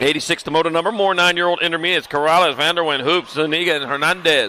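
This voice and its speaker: Over noticeable background noise, a man with a high pitch talks at a very fast pace using fairly even intonation. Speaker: BMX race announcer. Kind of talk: live commentary. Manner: loud.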